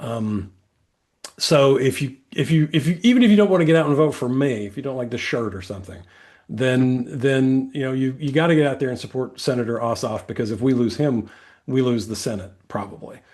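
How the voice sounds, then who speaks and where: Fairly quick speech with an American accent and ordinary pitch variation. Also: man, medium pitch for a man. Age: 60s. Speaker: political candidate. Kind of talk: interview. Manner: halting, many repetitions and fillers.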